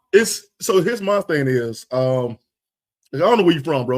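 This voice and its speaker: With a North Carolina accent, a man talks at a fairly high pitch. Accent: Southern US, North Carolina. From US South. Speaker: podcast guest. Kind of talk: casual chat. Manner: fast.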